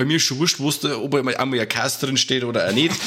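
Here is a man with a Bavarian accent and a bright, sharp tone. His pitch is fairly high, with ordinary variation. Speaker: podcast co-host. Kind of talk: casual chat. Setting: online call.

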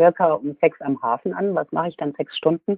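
A woman is speaking. Her pace is moderate. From Hesse/Franconia, Germany. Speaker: cruise company sales employee. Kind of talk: interview.

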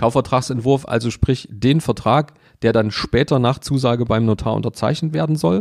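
A man with a plain, everyday voice speaks at a moderate pace with medium pitch, ordinary pitch variation and very even loudness. The sound is dry and close with no echo, in a very clean recording with a silent background. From Saxony, Germany (Leipzig). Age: 40s. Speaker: mortgage broker. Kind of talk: interview.

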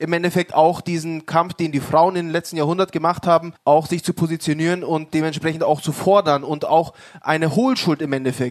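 A man's high-pitched voice at a fairly quick pace, with a dry, close sound and no echo. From Munich, Bavaria. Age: 30s. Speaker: local politician, city council candidate. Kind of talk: panel discussion.

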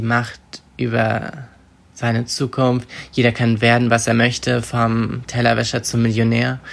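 A man's medium-pitched voice, fairly slow, with monotone, flat intonation. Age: 20s. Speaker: young author, student. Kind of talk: interview. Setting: voice messages via WhatsApp. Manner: hesitant, with filler sounds.

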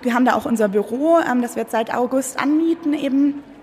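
At a moderate pace, a woman speaks. Background noise is noticeable. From Munich, Germany. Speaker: school director. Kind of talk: interview. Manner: hesitant, many fillers.

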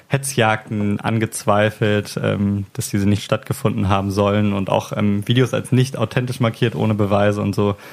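The man talks with a fairly low pitch while noticeable noise sounds in the background. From Hamburg, northern Germany. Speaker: podcast host. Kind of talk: casual chat. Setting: home recording at a friend's place.

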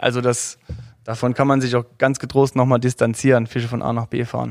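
A man at medium pitch, flat and monotone, at a moderate pace. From Saarland, Germany. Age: 30s. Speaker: angler. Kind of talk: casual chat.

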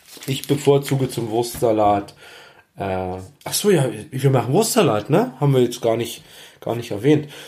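A man speaks at medium pitch and a moderate pace, with long, frequent pauses. His tone is dark, mellow and somewhat breathy, with ordinary pitch variation. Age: 40s. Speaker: cooking podcaster. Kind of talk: casual cooking monologue. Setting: home kitchen.

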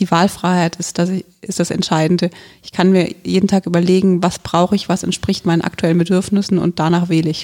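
A woman speaks at a fairly quick pace with a dark, mellow tone, a fairly low pitch, and monotone, flat intonation. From Germany, Hesse (Wiesbaden). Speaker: local politician. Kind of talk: podcast interview.

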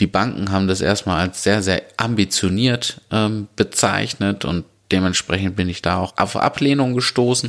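Using a normal speaking voice, a man talks at a moderate pace with a fairly low pitch and ordinary pitch variation. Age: 30s. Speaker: podcast host and restaurant owner. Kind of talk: solo podcast monologue.

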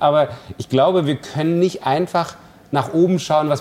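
A man is speaking here with a fairly high pitch. There is vocal fry in his voice. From East Germany. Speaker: cellist and festival director. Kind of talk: interview.

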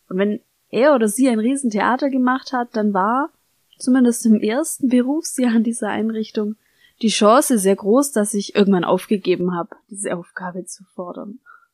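Here is a woman with a fairly high pitch, an ordinary speaking voice and ordinary pitch variation, talking at a moderate pace. Her loudness swings widely, and the sound is dry and close with no echo. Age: 30s. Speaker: podcast host, former social worker. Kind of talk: solo podcast monologue.

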